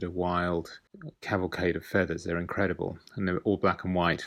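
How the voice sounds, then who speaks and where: The speaker has a British accent and a fairly quick pace. The background is quiet. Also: man. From UK. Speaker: artist. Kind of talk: artist talk about own work.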